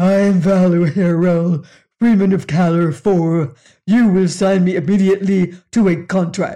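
Growling in a put-on character voice, a man speaks at a moderate pace with a high pitch. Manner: commanding, domineering.

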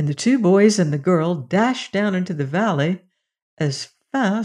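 Lively intonation in a natural reading voice, quiet background

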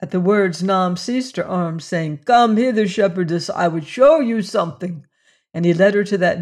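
A woman speaks at medium pitch and a moderate pace, with ordinary pitch variation. It is a normal speaking voice against a quiet background. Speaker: audiobook narrator. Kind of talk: dramatic narration of a classic adventure novel, with tense, menacing character voices. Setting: studio. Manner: suspenseful, hushed and menacing in the threats, tremulous for Juana.

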